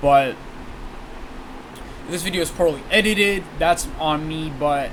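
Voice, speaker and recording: Noticeable background noise runs under the speech. Audible room echo fills the space. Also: man. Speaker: online content creator. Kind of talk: apology video monologue. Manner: stuttering, halting; unusual way of talking.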